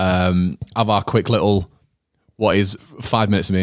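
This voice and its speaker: In a Yorkshire accent, a man speaks with a very deep, low pitch. His intonation is flat and monotone, and his pace is moderate. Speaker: podcast co-host. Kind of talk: casual chat, personal talk about grief.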